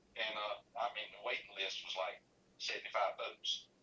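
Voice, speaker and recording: A man with a Carolinas accent at a fairly quick pace. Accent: Southern US (Carolinas). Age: 60s. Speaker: fishing tournament organizer. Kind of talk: casual interview. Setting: live stream show.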